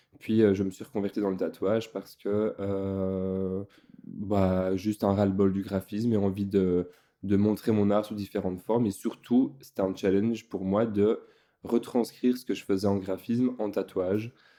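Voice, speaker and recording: In a Belgian accent, a man with a fairly low pitch speaks at a fairly slow pace with monotone, flat intonation. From Belgium. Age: 20s. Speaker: tattoo artist. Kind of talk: casual interview chat. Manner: hesitant, many fillers.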